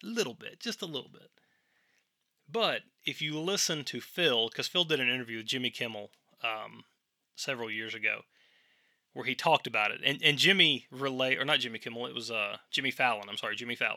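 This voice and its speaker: In a Tennessee accent, a man with a medium-pitched, bright, sharp tone talks fairly quickly with lively intonation and long, frequent pauses on a very clean recording with a silent background. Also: big swings in loudness. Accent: Southern US (Tennessee). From US South, Tennessee. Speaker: podcast host. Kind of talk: solo monologue podcast. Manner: casual, filler-heavy.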